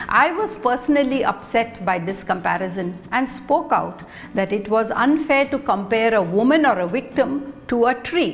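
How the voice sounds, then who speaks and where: A woman with a high pitch talks at a moderate pace with hardly any pauses, over noticeable background noise. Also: lively intonation. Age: 60s. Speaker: vlogger. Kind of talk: personal essay monologue.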